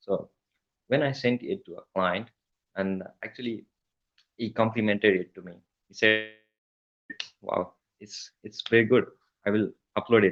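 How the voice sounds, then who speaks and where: With a Nepali accent, a man of medium pitch speaks at a moderate pace and fairly even intonation. His loudness swings widely, and he leaves long, frequent pauses. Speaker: email copywriter. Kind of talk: interview.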